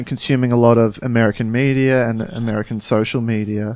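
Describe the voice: In an Australian accent, a man talks with monotone, flat intonation.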